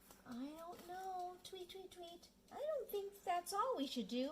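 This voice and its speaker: A cartoonish character voice speaks at an extremely high pitch and a fairly slow pace. Background noise is clearly heard. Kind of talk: children's puppet show.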